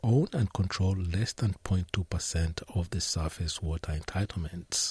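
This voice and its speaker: Very deep and low in pitch, a man speaks fairly slowly and somewhat breathily with ordinary pitch variation, in a dry, close sound with no echo on a very clean recording with a silent background. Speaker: radio presenter. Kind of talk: radio news and magazine presenting. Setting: studio.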